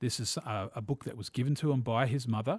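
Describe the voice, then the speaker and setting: Against a quiet background, a man with a New Zealand accent sounds somewhat breathy and shows ordinary pitch variation. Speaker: film podcast host. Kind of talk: casual film review chat.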